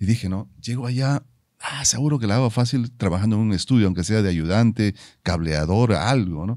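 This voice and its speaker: Against a quiet background, a man with a fairly low pitch and a dark, mellow tone talks at a fairly quick pace, and the sound is dry with no echo. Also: ordinary pitch variation. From Peru. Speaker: musician and commercial voice-over announcer; commercial voice-over announcer. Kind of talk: casual interview. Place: studio. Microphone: studio mic.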